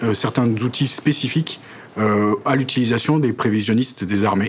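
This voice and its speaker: At a moderate pace and with ordinary pitch variation, the speech comes through over light background noise. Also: man. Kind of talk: interview answer. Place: office. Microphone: lapel.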